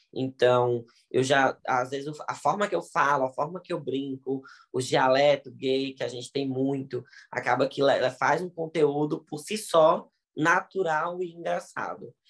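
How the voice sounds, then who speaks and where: A man with an unremarkable speaking voice talks at a fairly slow pace, his fairly high pitch moving with ordinary variation. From Ceará, Brazil. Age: 20s. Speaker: digital influencer and TV presenter. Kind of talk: casual interview.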